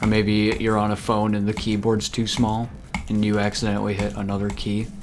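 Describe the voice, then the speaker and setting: Talking at a fairly quick pace in a monotone, flat delivery, a man is heard with audible room echo and noticeable background noise. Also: fairly low pitch for a man. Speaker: video game streamer. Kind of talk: live gameplay commentary. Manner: stutters, trips over words; casual, filler-heavy.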